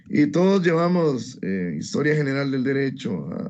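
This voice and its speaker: A man's fairly high-pitched voice moves through very wide pitch swings. Audible room echo surrounds the recording. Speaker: law student. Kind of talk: class presentation. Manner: hesitant.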